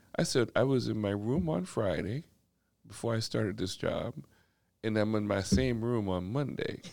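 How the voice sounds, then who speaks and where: A man speaks in a plain, everyday voice at fairly low pitch. The pitch varies in an ordinary way. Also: moderate pace. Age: 50s. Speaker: corporate executive and community equity advocate. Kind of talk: casual podcast interview.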